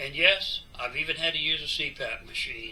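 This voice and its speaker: It is a man speaking. Noticeable background noise can be heard. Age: 60s. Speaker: cycling vlogger. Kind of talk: casual monologue.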